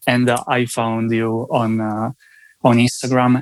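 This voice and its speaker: At a fairly slow pace, a man speaks with an Italian accent. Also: dry, close sound with no echo. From Italy. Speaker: sales team coordinator. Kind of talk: interview. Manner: halting.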